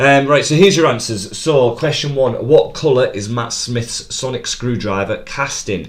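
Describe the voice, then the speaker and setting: With a Teesside accent, a man speaks using lively intonation. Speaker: quizmaster. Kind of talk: live stream pub quiz hosting. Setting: live stream. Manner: fast.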